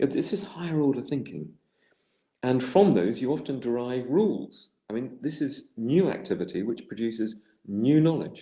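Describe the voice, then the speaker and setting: A man's medium-pitched voice at a moderate pace, with lively intonation and a British accent. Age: 60s. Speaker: education researcher. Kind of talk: lecture. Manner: halting, with repetitions.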